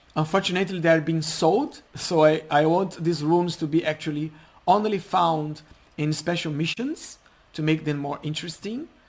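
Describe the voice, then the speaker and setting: A non-native accent with fairly even intonation. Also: man. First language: not English. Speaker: game mod developer. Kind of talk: gameplay commentary. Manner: halting, self-correcting.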